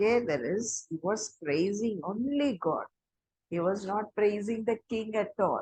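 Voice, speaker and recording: Speaking fairly slowly in an Indian accent, a woman with a medium pitch sounds somewhat breathy and varies her pitch in an ordinary way. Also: dry, close sound with no echo. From Chennai, India. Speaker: storyteller. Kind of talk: oral storytelling.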